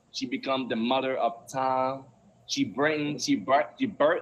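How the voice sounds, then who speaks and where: This man speaks with a Belizean accent. His pitch sits in the medium range. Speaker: poet. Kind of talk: reading aloud; casual chat. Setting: live stream.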